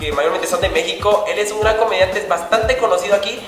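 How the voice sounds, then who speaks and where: A man speaks with audible room echo. Light background noise sits behind him. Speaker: vlogger interviewer. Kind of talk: casual talk to camera. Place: studio.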